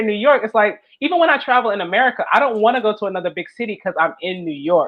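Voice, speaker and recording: The speaker talks at a very fast pace in an animated tone. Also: woman. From US South, South Carolina. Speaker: podcast host. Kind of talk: interview.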